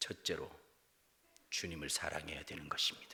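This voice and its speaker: At a fairly quick pace, a man talks in a raspy, put-on character voice. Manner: solemn, stern.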